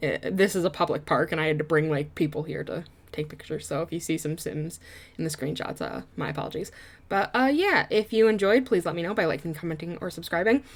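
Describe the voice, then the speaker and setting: Speaking very fast with a Michigan accent, a woman uses a fairly low voice on a very clean recording with a silent background. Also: ordinary pitch variation. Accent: US Midwest (Michigan). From Michigan, US. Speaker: YouTuber, game builder. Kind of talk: casual chat over gameplay. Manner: rambling, hesitant with fillers.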